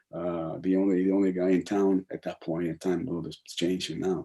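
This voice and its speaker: Speaking in an American accent, the man has a dark, mellow tone. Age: 80s+. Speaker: professor emeritus and activist. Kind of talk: conversational talk. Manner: halting, many fillers and restarts.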